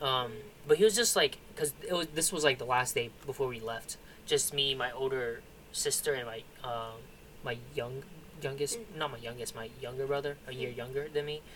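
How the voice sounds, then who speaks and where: This is a man with a plain, everyday voice and ordinary pitch variation. He talks at a fairly quick pace with big swings in loudness. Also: medium pitch for a man. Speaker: podcast co-host. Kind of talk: casual chat.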